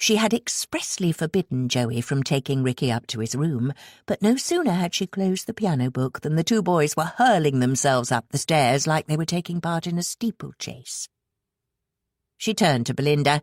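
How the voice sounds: With lively intonation and a low pitch, a woman talks at a moderate pace in a dry, close sound with no echo, on a very clean recording with a silent background.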